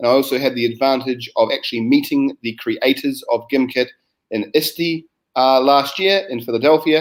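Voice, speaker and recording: At a moderate pace, a man with a New Zealand accent speaks in a fairly high pitch. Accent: New Zealand, similar to Australian. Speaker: science educator. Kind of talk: online teacher training presentation. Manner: hesitant, many fillers.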